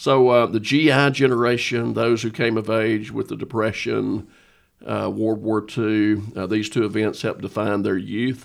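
At a moderate pace, an unremarkable speaking voice keeps fairly even intonation on a very clean recording with a silent background. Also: man, fairly low pitch for a man. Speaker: pastor. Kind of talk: casual chat.

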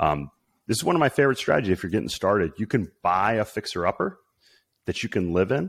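A man with a fairly low pitch talks at a very fast pace with lively intonation and very even loudness, in a dry, close sound with no echo. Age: 40s. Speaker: real estate investor. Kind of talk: interview.

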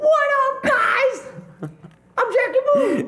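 An extremely high, squeaky put-on character voice comes through. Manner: exaggerated character voice.

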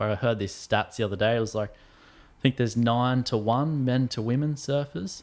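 Heard in a very clean recording with a silent background, a man with an Australian accent and medium pitch speaks at a moderate pace. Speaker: professional surfer. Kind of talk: casual chat.

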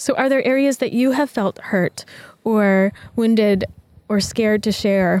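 A woman with a fairly high pitch talks at a fairly slow pace in an ordinary speaking voice, with ordinary pitch variation, very even loudness, and a dry, close sound with no echo. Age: 30s. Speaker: podcast host, self-love coach. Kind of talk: reflective monologue. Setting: outdoors in a park with birds, construction and traffic noise. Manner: gentle, calm.

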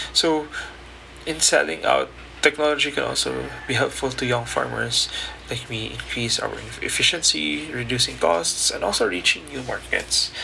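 The man keeps a moderate pace while noticeable background noise carries on behind. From Philippines, Mindanao. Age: young. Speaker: podcast host, young farming entrepreneur. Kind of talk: solo podcast monologue. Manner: hesitant, with fillers and restarts.

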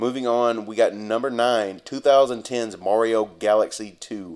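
The recording is very clean, with a silent background. Intonation holds fairly even throughout. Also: man. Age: 30s. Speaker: podcast host. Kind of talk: solo podcast monologue. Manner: casual, halting with fillers.

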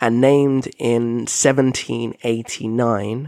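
This man has a British accent. His pitch sits in the medium range. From Britain. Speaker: podcast host. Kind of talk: solo educational monologue. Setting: home living room.

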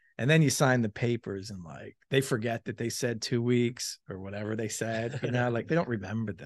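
A normal speaking voice with an American accent and ordinary pitch variation, its loudness swinging widely. The background is quiet. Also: man, medium pitch for a man, moderate pace, hardly any pauses. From Pennsylvania, Philadelphia area (Malvern). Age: 40s. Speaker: restaurant owner. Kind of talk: casual chat. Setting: unfinished restaurant space under construction.

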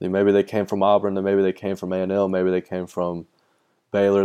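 A man speaks with a Texan accent in a fairly low, dark, mellow voice. The background is quiet. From Texas. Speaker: former baseball player. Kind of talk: interview.

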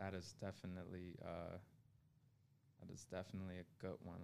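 With an American accent, a man speaks at a moderate pace in a very deep, low pitch with fairly even intonation and long, frequent pauses. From Buffalo, New York. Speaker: entrepreneur and accountant. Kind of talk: casual interview chat.

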